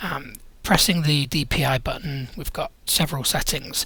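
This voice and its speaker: A man speaks in a British accent with a fairly high pitch. His intonation stays fairly even. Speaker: tech reviewer. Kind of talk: product review unboxing. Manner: casual, with frequent fillers.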